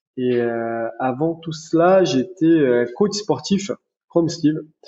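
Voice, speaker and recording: This man talks at a very slow pace. He has a slight Brazilian accent. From Brazil, centre of the country. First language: Portuguese (speaking French). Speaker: chiropractor. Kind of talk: podcast interview.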